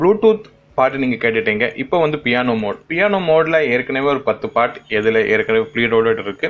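Very wide pitch swings in a fairly high male voice. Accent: non-native. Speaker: tech gadget reviewer. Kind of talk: product demo talk to camera. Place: home room. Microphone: phone near.

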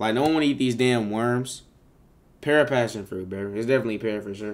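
Speaking at a fairly quick pace, a man keeps a medium pitch with ordinary pitch variation. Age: 20s. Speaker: live streamer. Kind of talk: casual live stream chat reacting to viewers. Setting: live stream on camera. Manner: animated. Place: home room.

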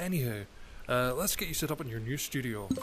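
With a Scottish accent, a man speaks at a fairly quick pace in a calm, relaxed tone that is somewhat breathy. His pitch varies in an ordinary way, and light background noise is present. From Scotland. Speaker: gamer channel host. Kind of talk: casual gameplay commentary to camera. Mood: relaxed, lightly joking. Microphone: headset.

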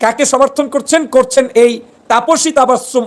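A man with an extremely high pitch speaks in an animated tone. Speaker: political commentator. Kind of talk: political commentary video. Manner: animated, accusatory.

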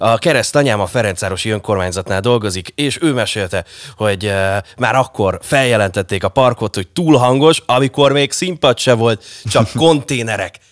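A man at a moderate pace, ordinary pitch variation, and a quiet background. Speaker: radio host. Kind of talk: casual chat. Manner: animated. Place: studio. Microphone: studio mic.

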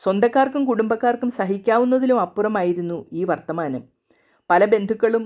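A woman is speaking. Her tone is dark and mellow. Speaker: storyteller. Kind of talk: reading aloud.

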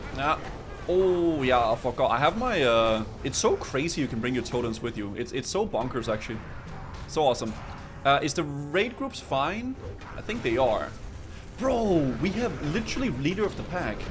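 With faint music behind him, a man with a fairly high pitch makes very wide pitch swings and leaves long, frequent pauses. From Denmark. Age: 20s. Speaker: video game streamer. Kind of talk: live gameplay stream chat. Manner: casual, animated. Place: home room. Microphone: studio mic.

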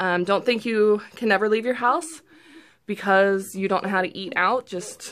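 A woman talks with ordinary pitch variation against light background noise. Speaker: vlogger. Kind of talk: casual vlog chat. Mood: upbeat, pleased. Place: home room. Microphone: phone near.

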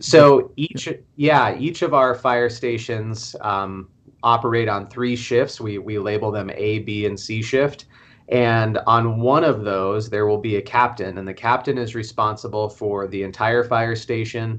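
His intonation fairly even, a man talks fairly slowly. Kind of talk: interview answer. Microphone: video call.

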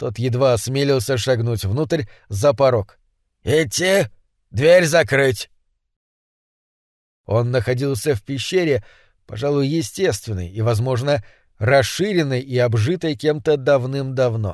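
A man of medium pitch talks fairly slowly with lively intonation and long, frequent pauses, recorded very cleanly against a silent background. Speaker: audiobook narrator. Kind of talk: audiobook reading of horror story.

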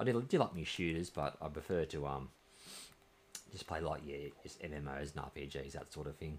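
A man with an Australian accent, his pitch very deep and low, with ordinary pitch variation, big swings in loudness, a moderate pace and light background noise. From Australia, New South Wales. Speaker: video game streamer. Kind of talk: live gameplay stream chat. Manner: casual, hesitant with many fillers. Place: home room.

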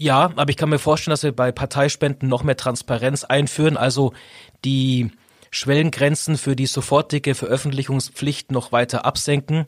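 The recording is very clean, with a silent background and a dry, close sound with no echo. A man with a fairly high pitch talks at a moderate pace with monotone, flat intonation and very even loudness. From Augsburg, Bavaria. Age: 40s. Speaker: politician. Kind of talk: interview.

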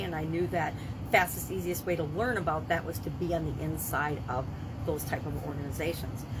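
A woman speaks at a very fast pace over noticeable background noise. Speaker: business coach vlogger. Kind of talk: casual vlog chat. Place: home room.

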